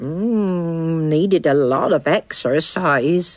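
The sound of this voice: At a very slow pace, this cartoonish character voice sits at a middle pitch.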